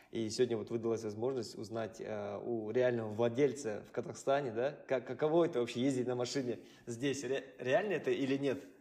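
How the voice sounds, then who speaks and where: The tone is dark and mellow, the intonation fairly even, and the pace fairly quick. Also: man, medium pitch for a man. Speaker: podcast co-host. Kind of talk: podcast interview.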